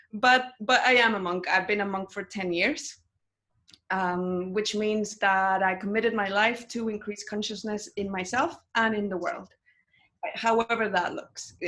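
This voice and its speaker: A woman with a Spanish accent speaks loud and fairly slowly, her bright, sharp voice at a medium pitch with ordinary pitch variation. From Mexico. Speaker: meditation teacher and monk. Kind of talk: interview. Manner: loud, intense.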